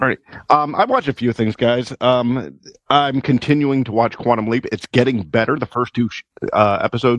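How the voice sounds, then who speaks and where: With an ordinary speaking voice, a man talks at medium pitch and a moderate pace, with ordinary pitch variation, in a dry, close sound with no echo. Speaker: podcast co-host. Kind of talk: casual banter.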